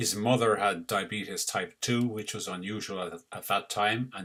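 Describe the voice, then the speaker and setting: With a slight Irish accent, a man speaks at a moderate pace in a bright, sharp tone, his fairly low pitch held to fairly even intonation. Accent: Irish, mild and easy to understand. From Ireland, Cork. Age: 60s. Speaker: retired doctor. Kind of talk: personal story to camera.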